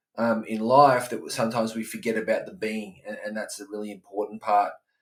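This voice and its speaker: A man speaks at a fairly quick pace in an Australian accent. His loudness swings widely. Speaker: life coach for dads. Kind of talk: podcast monologue. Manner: casual, many fillers and repetitions.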